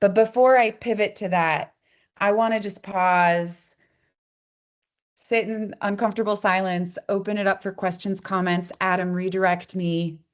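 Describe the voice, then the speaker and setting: Speaking at a fairly slow pace against a quiet background, a woman with an unremarkable speaking voice keeps a medium pitch and fairly even intonation. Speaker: co-op foundation representative. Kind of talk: presentation at online meeting. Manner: casual, conversational.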